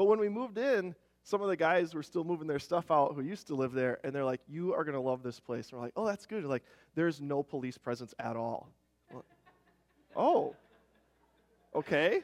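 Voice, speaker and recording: A man in an Upper Midwest accent talks at a fairly quick pace with a fairly high pitch and lively intonation. He takes long, frequent pauses. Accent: Upper Midwest American. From Minnesota, Rochester. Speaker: worship leader and church elder. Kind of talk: sermon. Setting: church. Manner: casual, halting with fillers.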